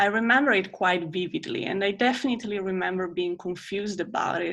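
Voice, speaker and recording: Against a quiet background, a woman speaks with medium pitch. Her pace is moderate, with ordinary pitch variation. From Italy. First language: Italian. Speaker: storytelling class student. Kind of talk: personal storytelling performance.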